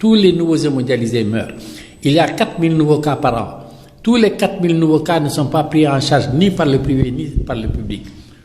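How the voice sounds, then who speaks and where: A man speaks at a fairly high pitch, with noticeable background noise and audible room echo. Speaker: dialysis patient activist. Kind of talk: interview. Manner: animated.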